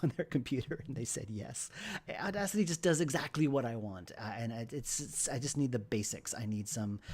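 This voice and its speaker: A man with an American accent, somewhat breathy, at a fairly quick pace with lively intonation. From New York. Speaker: game developer streamer. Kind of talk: casual livestream chat. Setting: livestream. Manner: stammering. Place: home room.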